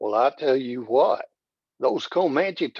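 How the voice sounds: Quiet background behind a natural reading voice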